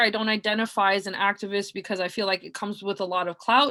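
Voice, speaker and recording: This woman has a Canadian accent. Her voice sits at a medium pitch. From Canada, Halifax, Nova Scotia. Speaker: community organizer. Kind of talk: personal testimony. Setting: video call from home. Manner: hesitant, many fillers.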